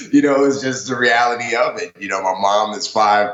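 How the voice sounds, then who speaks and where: Against noticeable background noise and audible room echo, a man with an American accent talks at a moderate pace. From New York, the Bronx. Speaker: former navy seal, author. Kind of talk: interview. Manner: many fillers like you know, um.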